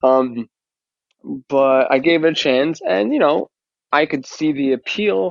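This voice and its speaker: With a strong New York accent, a man speaks at a fairly slow pace in a fairly high voice with ordinary pitch variation. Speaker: fan community member. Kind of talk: casual interview chat.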